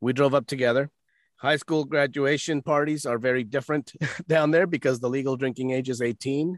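A man with an ordinary speaking voice, fairly high-pitched and fairly quick, with fairly even intonation against a quiet background. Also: dry, close sound with no echo. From United States, born in Mexico. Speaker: voice actor and podcast host. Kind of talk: storytelling in casual interview.

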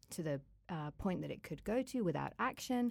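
A normal speaking voice at a fairly quick pace. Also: woman. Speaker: climate hub coordinator, human rights worker. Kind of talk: casual interview conversation.

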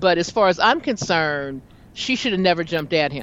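With lively intonation and an ordinary speaking voice, a woman speaks at a moderate pace in a fairly low pitch. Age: 50s. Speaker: talk show host and jazz singer. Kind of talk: casual chat.

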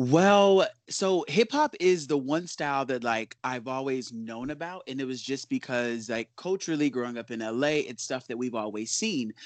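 A man's unremarkable speaking voice with an American accent, medium pitch, moderate pace, hardly any pauses, a dry, close sound with no echo, and a quiet background. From Los Angeles, South Central. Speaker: dancer and artist. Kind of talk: interview, casual chat.

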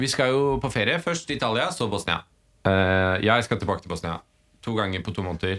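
This recording is very clean, with a silent background. A man talks fairly quickly at a fairly low pitch with lively intonation. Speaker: podcast co-host. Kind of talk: casual chat. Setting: studio, recorded standing.

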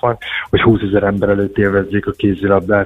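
A man at a fairly quick pace. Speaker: former handball player, national team. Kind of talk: radio phone interview. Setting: phone call.

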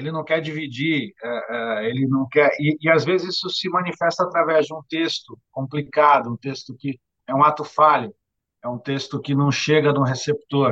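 This man's tone is bright and sharp. He keeps a moderate pace with fairly even intonation. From Santos, São Paulo state, Brazil. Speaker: bookseller and author. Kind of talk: interview conversation. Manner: halting, frequent word repetitions. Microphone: lower audio quality due to bad internet.

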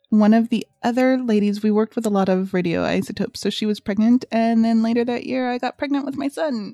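A woman with an American accent talks at a fairly quick pace with hardly any pauses, in an unremarkable speaking voice. Her fairly high pitch shows ordinary variation, and the sound is dry and close with no echo. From Southern California, US. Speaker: podcast co-host. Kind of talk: casual chat.

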